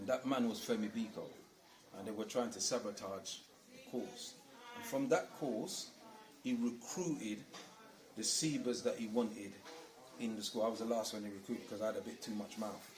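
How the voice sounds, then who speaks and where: Long, frequent pauses fill a man's speech, heard with audible room echo and noticeable background noise. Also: medium pitch for a man, ordinary pitch variation, moderate pace, big swings in loudness. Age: 60s. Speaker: community school elder and teacher. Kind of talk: interview storytelling. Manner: animated.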